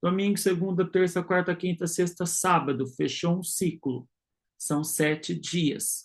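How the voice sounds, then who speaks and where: Someone speaks at a fairly slow pace over a quiet background. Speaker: religious teacher. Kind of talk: online lecture.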